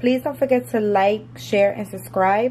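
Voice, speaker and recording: Her pitch swings very widely as this woman speaks, her voice somewhat breathy. Light background noise can be heard. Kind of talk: cooking tutorial. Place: kitchen. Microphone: phone near.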